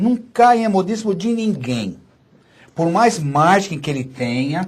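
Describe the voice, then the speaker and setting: Speaking very slowly, a man with a high-pitched voice makes very wide pitch swings. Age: 60s. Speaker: physician and author. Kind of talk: radio interview. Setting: studio.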